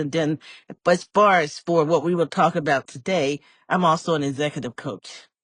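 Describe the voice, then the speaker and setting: Against a quiet background with a dry, close sound and no echo, a woman speaks with an American accent. Her very deep, low pitch shows ordinary variation at a moderate pace. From US Midwest, inner-city Chicago. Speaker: professor and executive coach. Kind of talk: interview podcast conversation.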